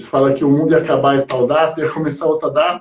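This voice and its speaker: A man's fairly high pitch at a very fast pace. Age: 50s. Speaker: podcast host, musician. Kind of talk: casual interview. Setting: online live stream.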